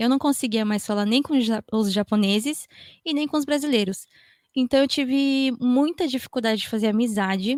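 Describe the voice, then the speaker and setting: In a Japanese accent, a woman talks at a high pitch and a moderate pace with ordinary pitch variation. The recording is very clean, with a silent background. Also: dry, close sound with no echo. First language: Japanese (speaking Portuguese). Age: 30s. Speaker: podcaster. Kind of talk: panel discussion.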